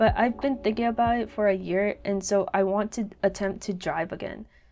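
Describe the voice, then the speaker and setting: Over music in the background, a woman with a fairly high pitch mumbles at a fairly quick pace. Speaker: YouTuber and artist. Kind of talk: casual vlog monologue. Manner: mumbles a lot.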